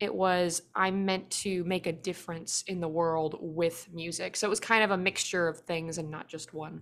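Speaking with an American accent and hardly any pauses, a woman keeps a flat, monotone intonation. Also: fairly low pitch for a woman, moderate pace. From United States. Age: 20s. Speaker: singer-songwriter. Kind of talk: interview.

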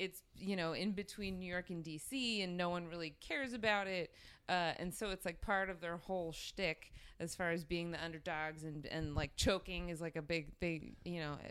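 A woman's unremarkable speaking voice with an American accent, fairly low pitch, ordinary pitch variation and moderate pace, on a very clean recording with a silent background. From South Jersey, US. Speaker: podcast guest, sports fan. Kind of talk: casual chat.

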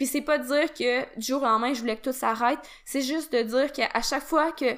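The speaker has a Quebec accent and fairly even intonation at a fairly quick pace. The recording is very clean with a silent background. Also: woman. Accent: Québécois French. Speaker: podcast host. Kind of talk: solo podcast monologue. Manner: casual, filler-heavy.

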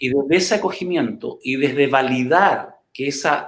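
A man with a Chilean accent and lively intonation. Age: 50s. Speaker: clinical psychologist. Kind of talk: interview.

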